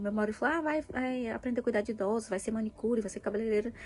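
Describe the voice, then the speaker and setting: A woman's very fast speech in a dark, mellow tone. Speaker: vlogger, mother. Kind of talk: personal vlog, venting. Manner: halting, many fillers.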